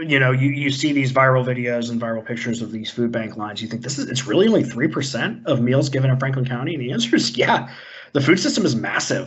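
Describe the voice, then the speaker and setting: A man's somewhat breathy, medium-pitched voice at a very fast pace, with audible room echo. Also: ordinary pitch variation. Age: 30s. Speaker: college staff instructor. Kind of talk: online presentation.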